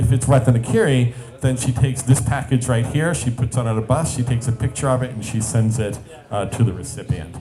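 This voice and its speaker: A man's medium-pitched voice at a fairly quick pace with fairly even intonation, audible room echo and music in the background. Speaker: startup founder and CEO giving a talk. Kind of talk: conference presentation. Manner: fast; hesitant with fillers.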